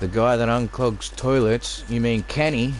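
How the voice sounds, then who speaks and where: A man with an Australian accent, amid noticeable background noise. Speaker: video game streamer. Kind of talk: casual live-stream commentary.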